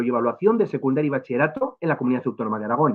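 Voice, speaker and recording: Very wide pitch swings mark this man's very fast speech. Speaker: education official. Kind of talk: lecture. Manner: halting with fillers.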